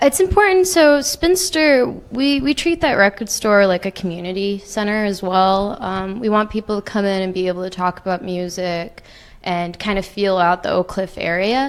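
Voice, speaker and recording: Speaking at a moderate pace and medium pitch, a woman with a slight Canadian accent uses lively intonation. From Canada, Toronto. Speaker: record store worker and music reporter. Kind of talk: podcast interview. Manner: chatty.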